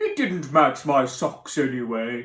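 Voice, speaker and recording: A man does a put-on character voice at a medium pitch and a fairly slow pace. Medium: read story. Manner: cheerful, warm.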